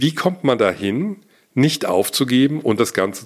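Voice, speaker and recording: A man speaks at a moderate pace with very wide pitch swings. The recording is very clean with a silent background. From Hesse, Germany (Gießen). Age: 40s. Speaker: podcaster and YouTuber, media entrepreneur. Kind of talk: solo monologue, personal story.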